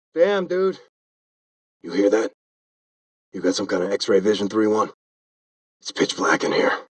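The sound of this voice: In a put-on character voice with a slightly husky edge, a man speaks fairly slowly at a fairly low pitch with big pitch swings, the sound dry and close with no echo.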